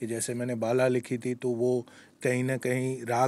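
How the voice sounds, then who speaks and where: A man speaks with a Gujarati accent. His voice sits at a medium pitch and has a dark, mellow tone. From Gujarat, India. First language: Gujarati (speaking Hindi). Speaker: screenwriter and lyricist. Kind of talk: interview. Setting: film festival. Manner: hesitant with many fillers.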